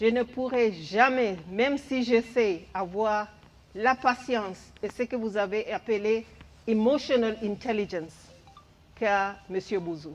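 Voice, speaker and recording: Long, frequent pauses break up the speech. It moves at a very slow pace, and the pitch shifts in an ordinary way. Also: woman, fairly high pitch for a woman. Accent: English. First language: English (speaking French). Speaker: head of a development agency office. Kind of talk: farewell tribute speech.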